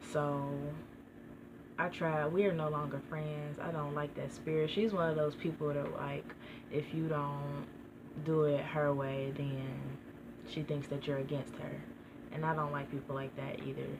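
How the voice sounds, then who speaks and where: Soft-spoken and fairly slow, a woman with a very deep, low pitch speaks in a monotone, flat line with long, frequent pauses, amid noticeable background noise and audible room echo. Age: young. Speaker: vlogger. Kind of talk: casual vlog monologue.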